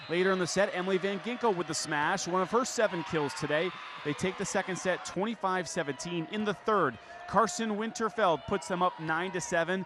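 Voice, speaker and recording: Against noticeable background noise, a man with a high pitch talks at a fairly quick pace, his pitch varying in an ordinary way. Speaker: sports anchor and reporter. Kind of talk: live sports highlight voiceover.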